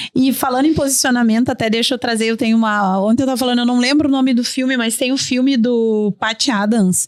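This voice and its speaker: A woman speaks at a very fast pace with hardly any pauses. Her voice is high-pitched and her tone is animated. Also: very even loudness. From Rio Grande do Sul, Brazil (São Gabriel). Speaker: tourism park founder. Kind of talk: podcast panel conversation. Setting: studio.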